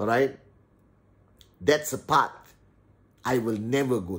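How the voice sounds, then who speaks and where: At a fairly slow pace, a man with an animated tone speaks in a somewhat breathy voice at medium pitch with ordinary pitch variation. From Malaysia (Teluk Intan, Perak). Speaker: entrepreneur and YouTuber. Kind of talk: motivational vlog monologue. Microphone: phone near.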